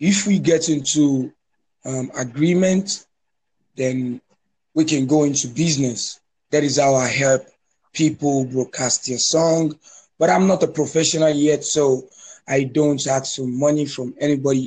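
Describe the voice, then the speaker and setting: Fairly slow and somewhat breathy, a man with a fairly high pitch and a dark, mellow tone keeps his intonation fairly even and leaves long, frequent pauses. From Nigeria. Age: 20s. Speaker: online music promoter. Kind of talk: casual chat. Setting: phone call. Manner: halting.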